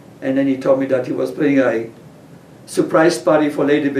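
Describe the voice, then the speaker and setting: Audible room echo around a man's fairly high, monotone voice with flat intonation at a fairly quick pace. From Poland. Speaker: interviewee, retired chef. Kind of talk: oral history interview.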